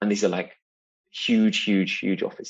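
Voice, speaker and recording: A man with a British accent. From UK. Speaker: UN climate and energy advisor. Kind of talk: interview.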